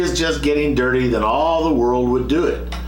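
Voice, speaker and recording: A man speaks with music in the background. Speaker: archaeologist and reverend. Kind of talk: casual chat. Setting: live video stream. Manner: loud.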